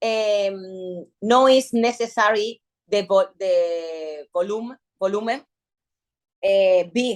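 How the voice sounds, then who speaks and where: In a Spanish accent, a woman talks at a very slow pace with medium pitch and ordinary pitch variation. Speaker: bikini fitness athlete. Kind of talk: interview. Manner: halting.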